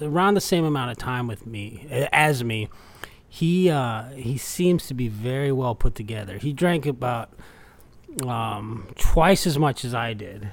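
Fairly slow and lively in intonation, a man talks at a medium pitch. It is a plain, everyday voice. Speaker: podcast co-host in recovery. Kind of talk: casual conversation.

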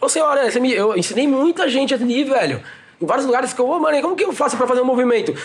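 This man talks at a very fast pace with an extremely high pitch and lively intonation. His loudness stays very even, and there is noticeable background noise. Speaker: breakdancer. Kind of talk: casual chat.

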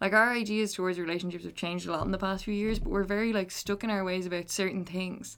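Speaking very fast with hardly any pauses, a woman with an Irish accent keeps her medium-pitched voice at a fairly even intonation. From Ireland. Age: 20s. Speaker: podcast guest. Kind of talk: casual chat.

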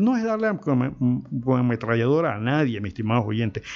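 With lively intonation, a male speaker delivers his words at a fairly quick pace. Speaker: radio host and producer. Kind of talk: talk radio commentary. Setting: radio studio. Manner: animated.

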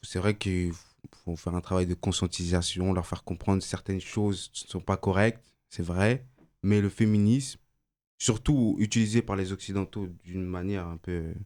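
On a very clean recording with a silent background, a man speaks at a moderate pace in a very deep, low pitch with fairly even intonation. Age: 20s. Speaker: engineering student, debate participant. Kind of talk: casual debate.

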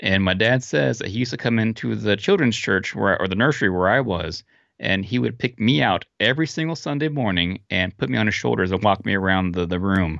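Speaking at a fairly quick pace with hardly any pauses, a man with a fairly low pitch and vocal fry makes very wide pitch swings against a quiet background. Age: 30s. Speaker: podcast host interviewing voice actors. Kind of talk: casual chat. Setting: remote call over the internet.

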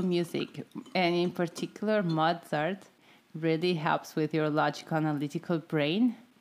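Fairly low in pitch, a woman speaks with an ordinary speaking voice at a moderate pace and fairly even intonation. The recording is very clean, with a silent background. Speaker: podcast host. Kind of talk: casual chat.

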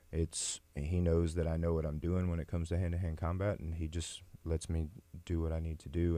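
Very deep, low male voice with a dark, mellow tone, monotone, flat intonation, an American accent and a moderate pace on a very clean recording with a silent background. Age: 30s. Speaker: MMA fighter and police officer. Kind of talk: interview.

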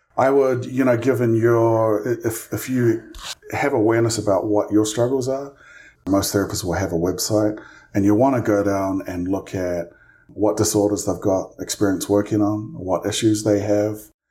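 The voice has a New Zealand accent and a dark, mellow tone. Its intonation stays fairly even. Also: man, fairly low pitch for a man, moderate pace. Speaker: licensed clinical social worker, therapist. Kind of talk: interview.

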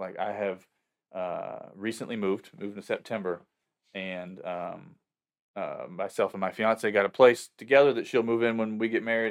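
Speaking in a Southern US accent, a man uses fairly low pitch, fairly even intonation and a moderate pace, recorded very cleanly against a silent background. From US South, upstate South Carolina. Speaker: worship pastor. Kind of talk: casual interview.

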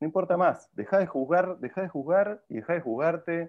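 A man speaks with a high pitch at a moderate pace. His intonation is lively. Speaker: film director. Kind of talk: casual interview chat.

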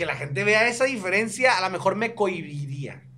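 Over noticeable background noise, a man with a high voice talks in a raised, projected way. He moves at a fairly quick pace with lively intonation. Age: 30s. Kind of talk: casual chat.

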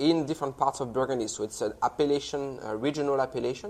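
Speaking with a French accent, a man uses a fairly high pitch and fairly even intonation. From France, Loire Valley. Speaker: wine company sales director. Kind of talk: interview with wine tasting.

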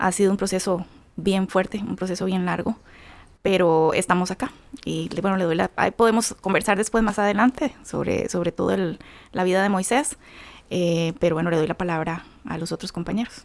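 A woman speaks with a Costa Rican accent at a moderate pace. Her pitch is medium, with ordinary pitch variation. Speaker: bereaved mother. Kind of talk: testimony.

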